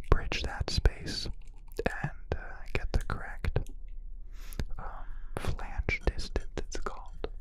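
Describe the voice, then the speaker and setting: The speaker is whispering. Noticeable background noise sits behind the voice. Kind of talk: ASMR whispered voice-over narration. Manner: whispered.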